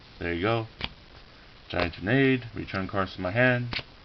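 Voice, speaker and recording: Over noticeable background noise, a man speaks fairly slowly at a fairly low pitch with ordinary pitch variation. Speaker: card game hobbyist showing his deck. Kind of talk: casual deck showcase. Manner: halting with repetitions.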